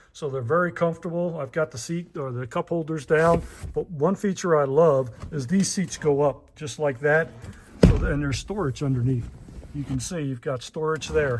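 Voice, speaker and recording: Speech at a moderate pace with ordinary pitch variation, over noticeable background noise. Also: man, fairly high pitch for a man. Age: 60s. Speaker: truck owner reviewing his vehicle. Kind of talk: casual vehicle walkthrough vlog. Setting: in a car.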